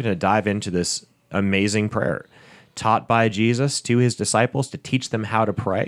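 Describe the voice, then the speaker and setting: In a very clean recording with a silent background, a man of medium pitch speaks at a fairly quick pace in a normal speaking voice. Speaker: pastor and podcast host. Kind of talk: podcast hosting.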